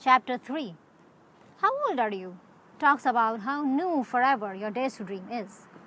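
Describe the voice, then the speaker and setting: Through noticeable background noise, a woman with a fairly high pitch speaks at a fairly slow pace with ordinary pitch variation. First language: not English. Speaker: web series creator. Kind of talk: scripted monologue.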